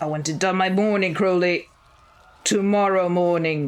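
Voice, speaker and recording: A woman's put-on character voice at a medium pitch and moderate pace. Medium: read story. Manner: imperious, commanding.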